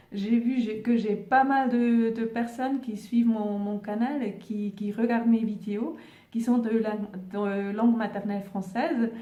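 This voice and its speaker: A fairly slow delivery with fairly even intonation and audible room echo. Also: woman, fairly high pitch for a woman. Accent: Swiss German. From German-speaking Switzerland. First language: Swiss German (speaking French). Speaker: spiritual YouTuber. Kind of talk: casual vlog monologue. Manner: halting, many fillers and repetitions.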